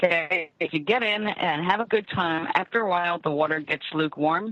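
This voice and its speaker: A woman with a plain, everyday voice, fairly low pitch, ordinary pitch variation and a fairly quick pace. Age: 60s. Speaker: tarot reader and psychic radio host. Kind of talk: live call-in psychic reading.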